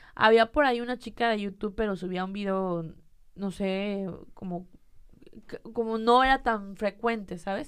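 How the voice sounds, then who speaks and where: She has a plain, everyday voice. A woman's fairly high pitch carries ordinary pitch variation. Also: quiet background. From Mexico, Monterrey. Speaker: content creator. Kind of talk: casual chat.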